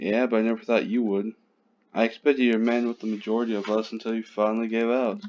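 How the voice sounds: A natural reading voice carries the whole clip. Nothing in the delivery strays from it.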